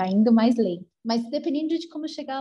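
This is a woman talking. Her pitch varies in an ordinary way. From Brazil, São Paulo. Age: 40s. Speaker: long-distance solo cyclist traveler. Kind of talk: interview conversation.

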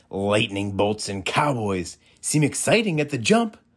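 Simply plain reading aloud

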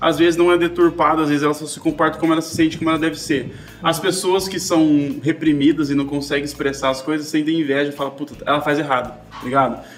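A man talks very fast in a fairly high pitch with a flat, monotone delivery, and there is noticeable background noise behind him. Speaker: podcast host. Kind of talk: casual chat.

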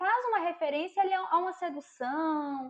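Lively intonation colors a woman's speech as she proceeds at a moderate speed. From Brazil, interior of Minas Gerais. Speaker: psychologist. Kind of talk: casual chat. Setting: remote call.

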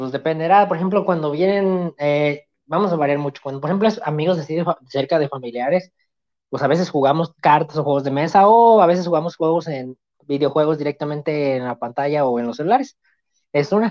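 At a fairly quick pace, a man speaks in an unremarkable speaking voice, fairly high in pitch with ordinary pitch variation. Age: 20s. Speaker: student guest. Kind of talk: casual interview chat.

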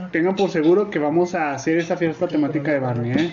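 A man talks with a Mexican accent. Noticeable background noise is present. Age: 30s. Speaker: podcast host. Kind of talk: casual chat. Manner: animated.

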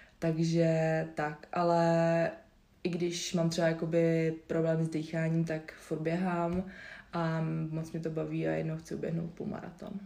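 With a dark, mellow tone and a fairly low pitch, a woman speaks at a fairly slow pace in a monotone, flat manner, with audible room echo around her. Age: 20s. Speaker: yoga instructor and nutrition advisor. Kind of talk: casual interview. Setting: recorded at guest's home. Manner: hesitant, many fillers.

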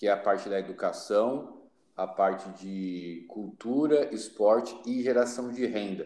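Here is an ordinary speaking voice from a man, fairly low in pitch. His pitch variation is ordinary. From Brazil, São Paulo city. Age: 30s. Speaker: social project leader and missionary. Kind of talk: podcast interview.

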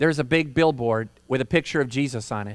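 A man talks at a moderate pace in an American accent, with an unremarkable speaking voice and ordinary pitch variation. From Michigan, Holland. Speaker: pastor. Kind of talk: sermon. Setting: outdoors.

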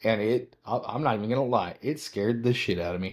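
A man with an American accent speaks at a moderate pace in a normal speaking voice, with ordinary pitch variation, on a very clean recording with a silent background. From western Nebraska. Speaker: podcast host. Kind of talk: casual chat.

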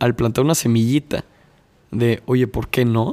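A man speaks at a medium pitch. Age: 20s. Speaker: podcast host. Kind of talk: casual interview chat.

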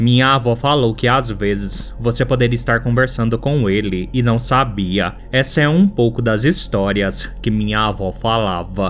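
With a Brazilian accent, a man delivers his lines in a dramatic tone at medium pitch and a fairly slow pace, with hardly any pauses, ordinary pitch variation and very even loudness, against noticeable background noise. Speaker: podcast host. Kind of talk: ghost story telling. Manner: dramatic, suspenseful storytelling.

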